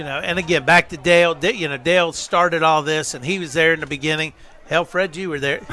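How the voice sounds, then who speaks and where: A man talks at a very fast pace with fairly even intonation and a fairly high pitch. Noticeable background noise runs under his voice. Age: 60s. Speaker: sports association director. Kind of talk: casual chat.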